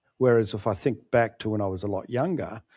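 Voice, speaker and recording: A man with an Australian accent speaks at a fairly low pitch in a dark, mellow tone. The sound is dry and close with no echo, on a very clean recording with a silent background. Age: 60s. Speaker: author. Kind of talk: interview.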